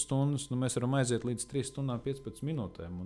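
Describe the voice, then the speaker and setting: A man's voice with a dark, mellow tone, a medium pitch and ordinary pitch variation. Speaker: medic and first aid instructor. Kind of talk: casual interview.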